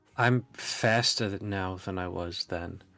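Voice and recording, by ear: Over faint background music, a man speaks slowly in a put-on character voice, low-pitched and with vocal fry. His pitch varies in an ordinary way, and his tone is fairly bright.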